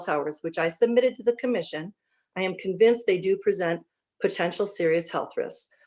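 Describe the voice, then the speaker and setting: Talking at a fairly quick pace, a woman uses a medium pitch. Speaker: resident giving public comment. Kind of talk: prepared public comment. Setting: video call. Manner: fast.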